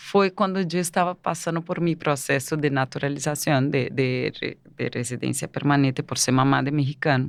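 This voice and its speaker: A woman with a Portuguese accent speaks at a very deep, low pitch. She leaves hardly any pauses, and the background is quiet. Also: ordinary pitch variation, moderate pace. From Brazil. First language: Portuguese (speaking Spanish). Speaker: migrant entrepreneur. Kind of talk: interview. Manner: halting.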